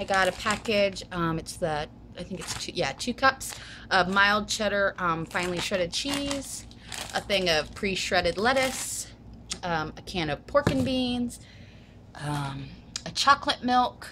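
With a bright, sharp tone and lively intonation, a woman speaks at a medium pitch and a fairly slow pace.

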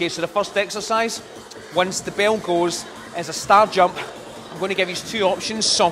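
Over noticeable background noise, a man talks at a moderate pace in a high, monotone voice with flat intonation. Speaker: fitness instructor. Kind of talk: tutorial. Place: gym.

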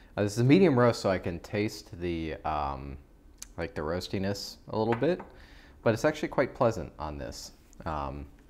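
A man talks with a very deep, low pitch and vocal fry, his pitch swinging very widely. Light background noise sits behind him. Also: moderate pace. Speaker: coffee reviewer. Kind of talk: casual vlog chat. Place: home room. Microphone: lapel.

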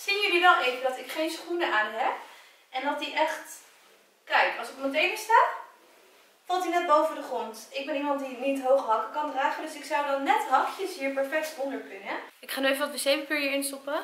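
A woman speaks at a moderate pace with a high pitch and ordinary pitch variation. Audible room echo surrounds her voice. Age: 20s. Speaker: YouTuber. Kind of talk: casual vlog. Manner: animated. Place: home room. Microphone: camera far.

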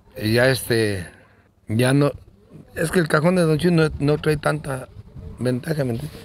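Long, frequent pauses break up fairly slow speech with ordinary pitch variation over noticeable background noise. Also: man, medium pitch for a man. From Guanajuato, central Mexico. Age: 60s. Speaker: bull rancher. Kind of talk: interview. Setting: at his home. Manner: halting, repeats words.

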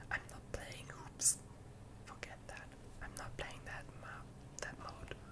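Loud background noise fills the recording. The speech moves at a very slow pace. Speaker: ASMR creator. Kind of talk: ASMR gaming whisper commentary.

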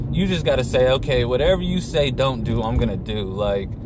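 A man at a moderate pace, a dry sound with no echo, loud background noise behind him. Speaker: fitness vlogger. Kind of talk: casual vlog chat. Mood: relaxed, opinionated. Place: car. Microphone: phone near.

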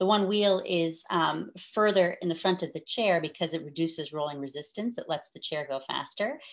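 Against a quiet background, a woman speaks at a fairly quick pace in a plain, everyday voice. Her pitch is fairly low with ordinary variation. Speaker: event host, Paralympic wheelchair racing champion. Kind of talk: live event hosting. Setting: live stream video call.

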